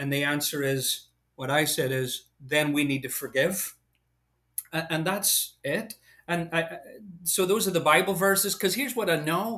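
A man's fairly high, bright, sharp voice with an American accent, ordinary pitch variation and a moderate pace, in a very clean recording with a silent background. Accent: Irish-tinged American. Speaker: preacher. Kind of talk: Bible study conversation.

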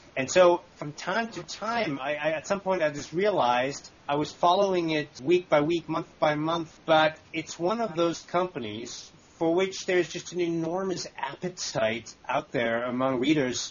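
A man with a fairly high voice speaks at a fairly slow pace. He leaves hardly any pauses, and background noise is noticeable. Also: ordinary pitch variation. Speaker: magazine journalist. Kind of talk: interview.

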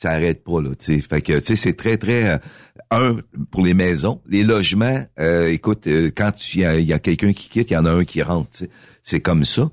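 A man speaks with a very deep, low pitch and lively intonation. The sound is dry and close, with no echo. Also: moderate pace, very clean recording, silent background. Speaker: mayor and former radio host. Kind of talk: casual radio interview.

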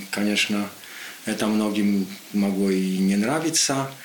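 Over noticeable background noise, a man speaks at a fairly low pitch with a Polish accent. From Poland. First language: Polish (speaking Russian). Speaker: political commentator. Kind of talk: radio interview.

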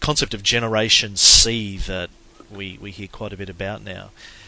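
A man with an Australian accent, fairly low in pitch, bright and sharp in tone, at a moderate pace. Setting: phone call.

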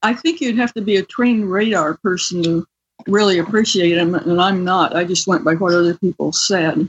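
A woman speaks in an unremarkable speaking voice at medium pitch with ordinary pitch variation. Her pace is moderate and her loudness very even. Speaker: scientist and author. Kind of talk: interview.

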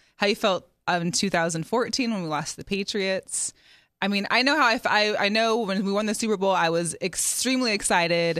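Speaking at a moderate pace with an American accent and ordinary pitch variation, this is a plain, everyday voice. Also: woman, medium pitch for a woman. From US Pacific Northwest (Seattle). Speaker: sports talk show host. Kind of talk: casual chat.

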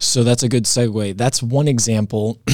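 This man has an unremarkable speaking voice, medium in pitch, with fairly even intonation. He keeps a moderate pace on a very clean recording with a silent background. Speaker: property management director. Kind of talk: interview.

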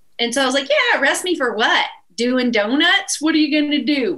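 Bright and sharp in tone, a woman speaks with an East Texas accent at a fairly quick pace, her intonation lively. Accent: East Texas Southern. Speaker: country musician. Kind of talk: casual chat. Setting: live show with audience.

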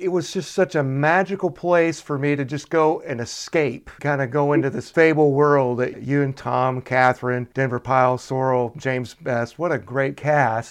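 A man's plain, everyday voice, fairly high in pitch with ordinary pitch variation, at a moderate pace with hardly any pauses, over a quiet background. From Chattanooga, Tennessee (US South). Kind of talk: interview.

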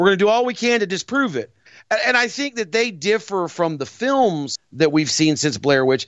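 Talking at a moderate pace, a man uses very wide pitch swings. He has an American accent. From US South. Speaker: podcast host, horror show presenter, former pro wrestler. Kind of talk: casual chat. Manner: animated, frequent laughter.

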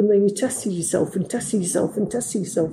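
Dark, mellow tone marks this voice. There's a somewhat breathy quality to it. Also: woman. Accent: Manchester. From northern England, near Manchester. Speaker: language school director, former teacher. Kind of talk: casual interview. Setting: in Mexico City, interview.

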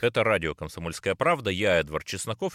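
A man's voice comes through dry and close, with no echo. The recording is very clean, and the background is silent. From Cherepovets, northwest Russia. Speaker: radio host and political journalist. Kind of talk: radio interview.

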